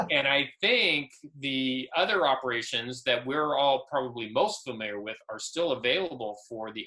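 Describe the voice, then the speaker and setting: At a fairly slow pace, a man with an ordinary speaking voice and medium pitch speaks with lively intonation. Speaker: woodworking instructor presenting CNC software. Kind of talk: software tutorial and Q&A on video call.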